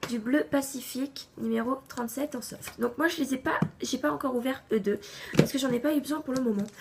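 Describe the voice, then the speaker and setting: High pitch from a woman, set against noticeable background noise. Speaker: craft YouTuber. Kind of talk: tutorial.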